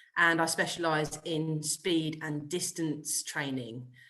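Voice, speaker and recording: A bright, sharp tone with a British accent and ordinary pitch variation. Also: woman. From UK. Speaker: golf coach. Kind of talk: podcast interview.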